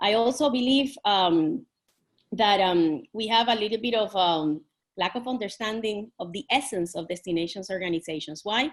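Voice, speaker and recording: Against a quiet background, a woman with a Puerto Rican accent speaks at a moderate pace in a medium pitch with lively intonation. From Puerto Rico. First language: Spanish. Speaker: tourism industry panelist. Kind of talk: panel discussion. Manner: animated, with many false starts.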